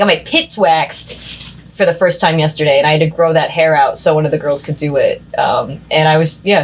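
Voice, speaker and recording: Over noticeable background noise, a woman with a Pennsylvania accent and a very deep, low pitch talks at a fairly quick pace. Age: 30s. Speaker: beauty school student. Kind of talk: casual chat. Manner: animated.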